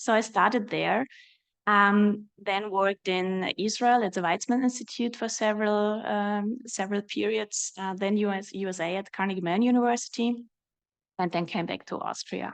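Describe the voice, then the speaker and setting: A woman with a slight German accent, fairly even intonation, and a quiet background. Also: medium pitch for a woman, moderate pace. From Germany. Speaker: research director, mathematician. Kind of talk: panel discussion. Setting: panel event with audience. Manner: hesitant, many fillers.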